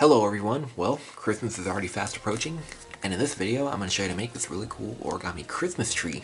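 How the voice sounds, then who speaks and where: A man's very fast, fairly low-pitched speech with lively intonation over noticeable background noise. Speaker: origami instructor. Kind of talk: tutorial. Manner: casual, conversational.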